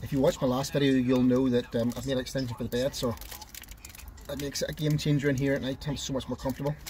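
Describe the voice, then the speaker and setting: Against light background noise, a man speaks at a very fast pace in a monotone, flat intonation. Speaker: van camping vlogger. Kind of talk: casual vlog chat.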